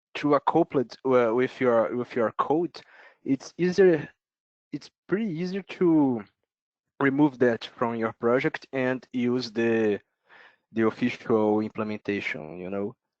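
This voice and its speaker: In a Brazilian accent, a man speaks fairly slowly at a medium pitch with lively intonation, the sound dry and close with no echo. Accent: Brazilian accent, non-native English. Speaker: software developer presenter. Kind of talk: technical presentation Q&A. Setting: online video meeting. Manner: halting, many fillers.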